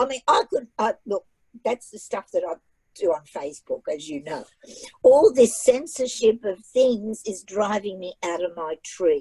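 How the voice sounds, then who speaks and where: A woman with a fairly high pitch and a dark, mellow tone speaks somewhat breathily at a fairly slow pace, with very wide pitch swings and big swings in loudness, in a dry, close sound with no echo. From Australia from age nine, born abroad. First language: not English. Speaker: author and writing presenter. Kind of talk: casual talk at a library event. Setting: video call. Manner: animated.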